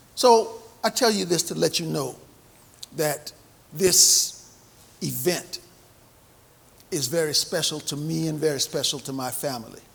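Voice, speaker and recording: Amid noticeable background noise, a fairly high-pitched man with an American accent speaks with ordinary pitch variation and long, frequent pauses. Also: fairly slow pace. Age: 70s. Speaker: navy veteran and banquet speaker. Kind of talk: speech at a memorial banquet. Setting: banquet hall with audience, microphone.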